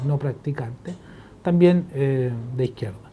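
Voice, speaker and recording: Somewhat breathy, this voice has a dark, mellow tone, ordinary pitch variation and a moderate pace. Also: man. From Chile. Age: 70s. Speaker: historian, professor. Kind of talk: interview testimony. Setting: office. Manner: hesitant, frequent fillers.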